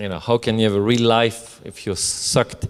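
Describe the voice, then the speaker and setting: A man speaks at a medium pitch. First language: not English. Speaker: co-author of a novel. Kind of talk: book presentation talk. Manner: halting, many fillers.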